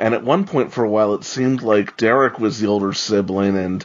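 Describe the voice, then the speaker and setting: A man with an American accent speaks in a normal speaking voice. He moves at a fairly quick pace with ordinary pitch variation. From New York. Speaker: podcast co-host. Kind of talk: casual discussion.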